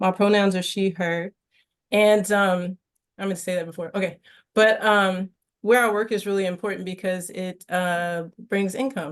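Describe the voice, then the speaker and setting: At a moderate pace, a woman talks with medium pitch and fairly even intonation in an unremarkable speaking voice. The background is quiet. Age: 40s. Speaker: visual artist. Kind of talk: panel discussion.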